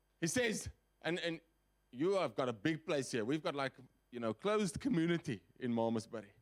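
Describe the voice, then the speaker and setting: A loud man's fairly high voice at a fairly quick pace, with very wide pitch swings and long, frequent pauses. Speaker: guest preacher. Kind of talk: sermon. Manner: animated.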